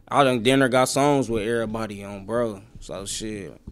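A man with an unremarkable speaking voice and fairly even intonation, in a very clean recording with a silent background. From Milwaukee, Wisconsin (west side). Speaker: rapper. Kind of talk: casual interview chat.

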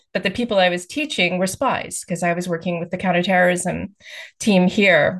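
In a Texan accent, a woman at medium pitch talks fairly quickly with fairly even intonation against a quiet background. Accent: American, Texan. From US, Texas. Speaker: author. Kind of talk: interview.

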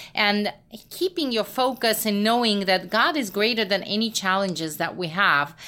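Speech unfolds at a moderate pace. Its tone comes across bright and sharp. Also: woman. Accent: Russian. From Russia. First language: Russian. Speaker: missions organization co-founder. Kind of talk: interview.

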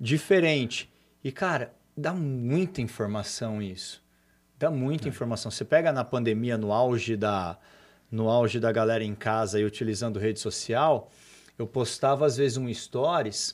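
A plain, everyday voice from a man at medium pitch, moderate pace and ordinary pitch variation, in a very clean recording with a silent background. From Brazil, São Paulo state (Cosmópolis). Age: 40s. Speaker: entrepreneur. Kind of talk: casual interview chat.

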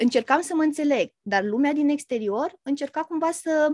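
The sound is dry and close, with no echo. A woman speaks with lively intonation. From Romania. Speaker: therapist. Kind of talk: casual chat.

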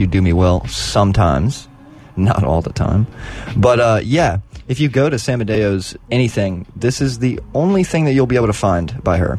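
Against noticeable background noise, a man speaks at a moderate pace with lively intonation and very even loudness. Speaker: radio host. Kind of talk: radio DJ patter, casual back-and-forth with co-host between songs. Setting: college radio studio. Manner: laid-back, playful banter with a joking, slightly sarcastic tone.

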